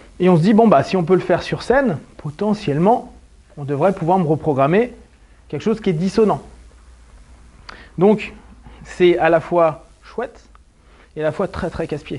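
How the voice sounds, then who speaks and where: Long, frequent pauses interrupt the talking. Otherwise it moves along at a moderate pace. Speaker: hypnotherapist. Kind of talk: lecture.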